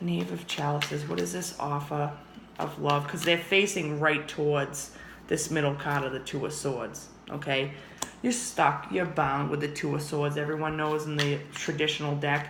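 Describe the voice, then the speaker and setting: The speech comes at a moderate pace, with noticeable background noise. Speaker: tarot reader. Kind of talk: tarot reading monologue. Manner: casual, animated.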